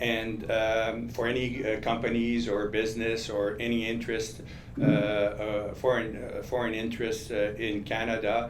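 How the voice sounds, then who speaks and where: In a Quebec accent, a man with a medium pitch speaks at a moderate pace in a monotone, flat intonation, with audible room echo and noticeable background noise. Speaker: lobbyist. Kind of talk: panel discussion. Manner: halting, many fillers.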